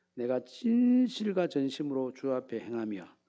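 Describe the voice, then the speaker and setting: With a Gyeongsang accent, a man speaks at a medium pitch in a dark, mellow tone, his pitch swinging very widely. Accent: Gyeongsang dialect, imprecise pronunciation. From Gyeongsang region, Korea. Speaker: pastor. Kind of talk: sermon.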